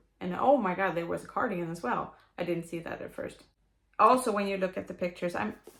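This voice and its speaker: Talking at a very fast pace in a Swedish accent, a woman has a fairly low pitch, vocal fry and lively intonation. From Sweden. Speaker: knitter. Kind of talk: book review talk to camera. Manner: rambling, hesitant.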